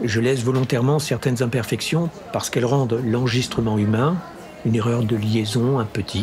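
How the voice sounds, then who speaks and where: With music in the background, a man talks at a fairly quick pace and fairly even intonation. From Grand Est, France (Champagne, Ardennes). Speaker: audiobook narrator and channel host. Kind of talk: casual Q&A monologue. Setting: café.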